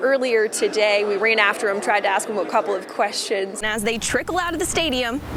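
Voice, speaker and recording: A fairly high-pitched woman with an American accent, an ordinary speaking voice, fairly quick pace. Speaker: television news reporter. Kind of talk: TV news reporting, on-location report.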